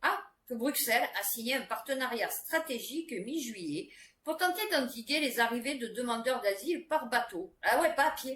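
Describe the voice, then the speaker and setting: A woman is talking. Her pitch is high for a woman, and her intonation is lively. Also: moderate pace. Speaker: YouTuber commenting on news; adult student. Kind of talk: casual news commentary with reading aloud. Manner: chatty, many fillers.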